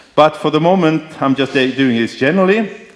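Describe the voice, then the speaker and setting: Lively in intonation and fairly quick in pace, a man's speech comes through noticeable background noise. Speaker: professor. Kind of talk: lecture.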